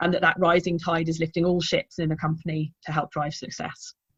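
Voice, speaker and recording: A woman with a British accent speaks at a fairly quick pace in a fairly low pitch. Her intonation is monotone and flat. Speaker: sales enablement leader. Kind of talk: panel discussion.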